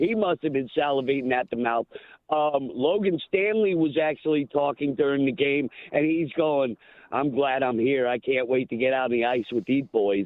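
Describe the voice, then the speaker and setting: A man speaks at a fairly high pitch. His pace is moderate and his pitch variation ordinary. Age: 60s. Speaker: caller. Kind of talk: casual chat. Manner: animated.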